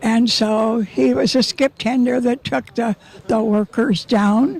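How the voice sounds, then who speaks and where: Over noticeable background noise, a woman with an American accent talks very slowly at a fairly high pitch with lively intonation. Her loudness is very even, and the sound is dry and close with no echo. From Nevada City, California. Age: 90s. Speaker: oral history interviewee. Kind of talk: interview. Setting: outdoors. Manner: halting.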